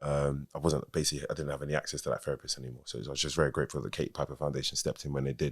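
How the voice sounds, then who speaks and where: A man with a London accent talks at a very fast pace with hardly any pauses, in a very deep, low pitch. His intonation is monotone and flat, with vocal fry throughout. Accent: London Multicultural English. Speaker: rapper. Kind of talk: casual chat. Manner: casual, many fillers.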